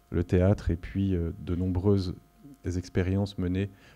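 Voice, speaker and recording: Over a quiet background, a man with a very deep, low pitch and a dark, mellow tone talks at a moderate pace in a monotone, flat delivery. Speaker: curator and lecturer. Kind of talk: lecture. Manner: hesitant, many fillers.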